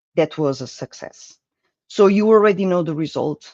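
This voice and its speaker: A man with a Portuguese accent and ordinary pitch variation, in a dry, close sound with no echo against a quiet background. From Portugal. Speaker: project management speaker. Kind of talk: conference presentation.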